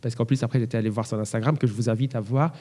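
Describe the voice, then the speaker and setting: Somewhat breathy, a man's voice carries a dark, mellow tone and ordinary pitch variation. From France. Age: 30s. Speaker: concert pianist. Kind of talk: interview. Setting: large echoing hall.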